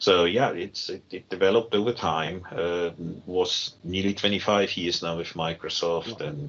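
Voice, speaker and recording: Speaking with fairly even intonation, a man has a very deep, low pitch. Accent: German. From Germany. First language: German. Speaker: technology team lead. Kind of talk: podcast interview. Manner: halting, many fillers.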